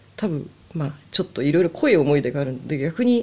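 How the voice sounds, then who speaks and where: A woman's very deep, low-pitched voice. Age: 40s. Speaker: music fan and amateur violinist. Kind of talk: casual chat.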